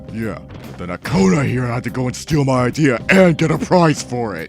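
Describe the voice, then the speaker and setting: A put-on character voice with lively intonation moves at a moderate pace. Clear music plays in the background. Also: man, medium pitch for a man. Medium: machinima. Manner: gruff, blunt.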